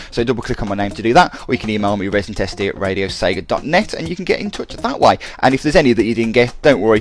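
Hardly pausing at all, a man with a fairly low pitch talks at a very fast pace with ordinary pitch variation over noticeable background noise. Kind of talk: radio DJ patter: back-announcing tracks between songs, breezy and chatty. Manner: quick, casual and upbeat, with filler 'uh's and enthusiastic 'love that track' asides.

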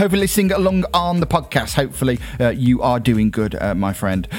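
A man with a British accent speaks in an enthusiastic, warm tone, his pitch swinging very widely, over noticeable background noise. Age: 30s. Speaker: internet radio DJ. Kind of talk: online radio DJ patter, back-announcing game-music listener requests between tracks. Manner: upbeat, chatty and rambling with frequent ums and uhs; enthusiastic, warm presenter energy.

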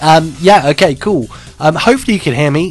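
Noticeable background noise sits under the recording. A man talks with ordinary pitch variation. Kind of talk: radio dj patter, casual live internet radio host chat between music blocks. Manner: rambling and halting, full of ums, uhs and self-corrections, chatty and cheerful; congested and stuffy, laughing off fumbles and tech glitches.

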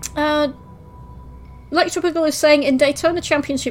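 With music in the background, a woman speaks in a relaxed tone at a high pitch with ordinary pitch variation. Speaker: radio host. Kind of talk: radio dj patter. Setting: online radio show. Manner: chatty, casual, relaxed; informal, ums and self-corrections.

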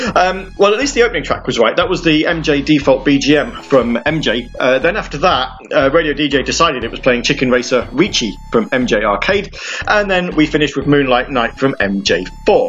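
A British accent at a moderate pace with hardly any pauses, music in the background. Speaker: radio show host. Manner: relaxed, conversational, rambling with fillers (um, uh), upbeat and friendly; self-deprecating, wry humour.

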